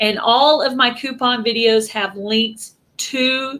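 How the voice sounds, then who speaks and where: On a very clean recording with a silent background, a woman with a Texan accent speaks in a high pitch with a bright, sharp tone and ordinary pitch variation. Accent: Texas Southern US. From Texas. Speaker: YouTube channel host. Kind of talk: casual live stream chat.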